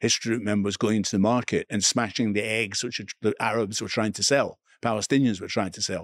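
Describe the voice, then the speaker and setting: On a very clean recording with a silent background, a man with an Edinburgh accent speaks fairly quickly in a fairly low, monotone, flat voice. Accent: Scottish (Edinburgh). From Scotland, Edinburgh. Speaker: author and media presenter. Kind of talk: interview conversation.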